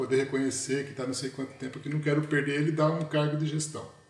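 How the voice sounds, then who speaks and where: A man speaks with a fairly high pitch. Audible room echo hangs around his voice. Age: 50s. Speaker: management consultant. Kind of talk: casual chat. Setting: video call.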